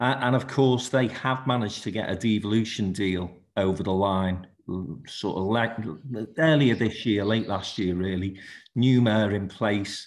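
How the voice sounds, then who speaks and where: Using a Liverpool accent, a man speaks at a fairly low pitch and a moderate pace with ordinary pitch variation. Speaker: business leader, conference panellist. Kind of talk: panel discussion.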